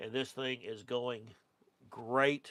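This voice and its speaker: This man speaks with an Oklahoma accent at a fairly slow pace. His pitch sits in the medium range. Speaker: car restoration youtuber. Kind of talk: live stream chat reading comments. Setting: studio. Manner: casual, hesitant with fillers.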